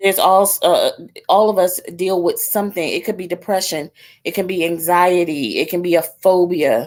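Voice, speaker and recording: A woman keeps her intonation fairly even while speaking at a moderate pace. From New York. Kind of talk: casual interview chat.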